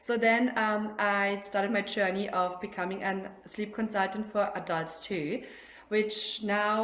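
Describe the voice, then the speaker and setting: Audible room echo surrounds a woman speaking at medium pitch with a German accent. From Germany. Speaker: sleep consultant. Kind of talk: casual interview. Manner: halting.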